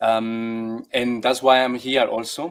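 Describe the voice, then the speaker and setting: Speaking very slowly with a Colombian accent, a man keeps a medium pitch and a monotone, flat intonation. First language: Spanish. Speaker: actor, dancer and teacher. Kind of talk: online workshop interview. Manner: halting.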